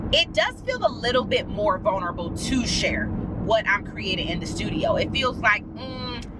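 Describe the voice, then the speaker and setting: Noticeable background noise and audible room echo fill the recording. A woman with a fairly high voice talks at a moderate pace with lively intonation. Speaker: artist and YouTuber. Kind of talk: casual vlog chat. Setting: in a car. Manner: chatty, informal; restrained volume, not shouting.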